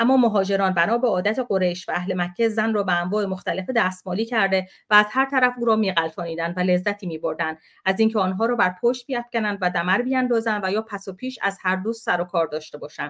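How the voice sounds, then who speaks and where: Animated in tone, a woman speaks at a very fast pace in a medium pitch with ordinary pitch variation. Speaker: activist. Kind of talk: heated debate. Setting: video call.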